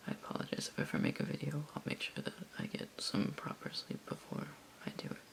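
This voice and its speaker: A whisper is heard amid noticeable background noise. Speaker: ASMR creator. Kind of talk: ASMR figure collection show-and-tell. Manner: soft-spoken.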